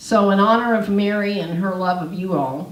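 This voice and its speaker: A woman's fairly even intonation carries through audible room echo and noticeable background noise. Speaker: homeless ministry leader. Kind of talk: panel talk. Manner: loud.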